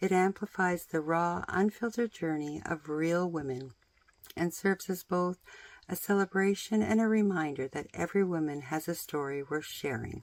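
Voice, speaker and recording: A woman with a plain, everyday voice speaks at a moderate pace and a fairly low pitch, with ordinary pitch variation on a very clean recording with a silent background. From British Columbia, Canada. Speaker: author and DIY content creator. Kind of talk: promotional pitch.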